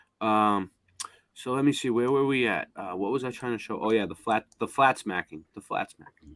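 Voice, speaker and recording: This man has a strong Boston accent and ordinary pitch variation. His loudness swings widely, and the sound is dry and close with no echo. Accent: heavy Boston. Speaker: live streamer. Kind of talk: casual chat. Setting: live stream. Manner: rambling, halting.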